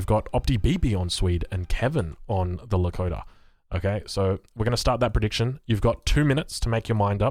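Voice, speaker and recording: Somewhat breathy and fairly low in pitch, a man talks at a fairly quick pace with ordinary pitch variation. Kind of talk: casual, host-like. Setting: close to the microphone, streaming.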